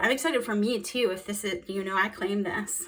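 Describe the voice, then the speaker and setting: Against noticeable background noise, a woman speaks at medium pitch. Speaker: tarot reader. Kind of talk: tarot reading monologue. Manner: fast; animated.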